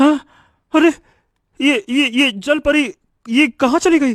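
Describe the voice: Using a cartoonish character voice, a man talks slowly with an extremely high pitch, a fairly bright tone and ordinary pitch variation.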